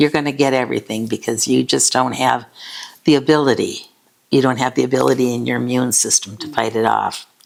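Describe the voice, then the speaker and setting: Her voice is very deep and low, with vocal fry. The woman speaks at a fairly quick pace with fairly even intonation. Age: 80s+. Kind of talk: interview answer.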